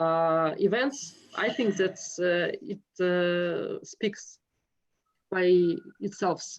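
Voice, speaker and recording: With a Russian accent, a woman talks at a very slow pace, leaving long, frequent pauses, with ordinary pitch variation. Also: medium pitch for a woman. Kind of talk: interview conversation. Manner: halting, many hesitations.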